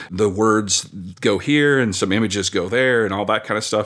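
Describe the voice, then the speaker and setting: This is a man with an ordinary speaking voice, fairly low in pitch, with ordinary pitch variation. He talks at a moderate pace on a very clean recording with a silent background. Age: 40s. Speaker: board game manufacturer and publisher. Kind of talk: casual interview.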